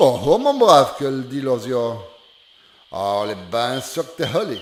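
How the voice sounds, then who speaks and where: Amid noticeable background noise, a man in a Charente accent speaks at a very slow pace with very wide pitch swings. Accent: Charentais regional patois. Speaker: storyteller. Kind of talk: folk fable telling in dialect. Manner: homely, conversational.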